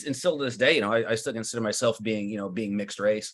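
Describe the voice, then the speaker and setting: On a very clean recording with a silent background, a man with a fairly low pitch talks at a very fast pace with ordinary pitch variation. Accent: American. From US Midwest, Cedar Rapids, Iowa. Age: 40s. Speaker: winemaker. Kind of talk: interview. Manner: halting, many repetitions and fillers.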